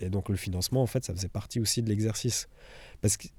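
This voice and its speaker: Recorded very cleanly against a silent background, a man speaks at a medium pitch with a dark, mellow tone and fairly even intonation. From Switzerland, Villars. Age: 20s. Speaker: documentary filmmaker. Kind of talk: interview. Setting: cinema hall. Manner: halting.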